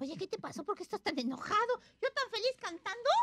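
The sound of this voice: A cartoonish character voice rattles along at a fast pace with big pitch swings and a bright, sharp tone, in a dry, close sound with no echo.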